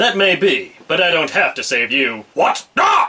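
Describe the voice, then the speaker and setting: A man puts on a character voice. It sits at a high pitch. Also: moderate pace. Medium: solo performance. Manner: flat, casual.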